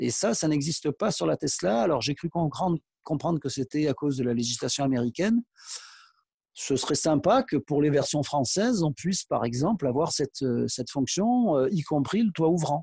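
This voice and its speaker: A man with a dark, mellow tone and a fairly high pitch speaks at a moderate pace with very even loudness, somewhat breathy and with lively intonation, in a dry, close sound with no echo against a quiet background. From Provence, southern France (Aix-en-Provence). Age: 60s. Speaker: PE teacher and car owner. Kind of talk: interview. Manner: hesitant, many fillers.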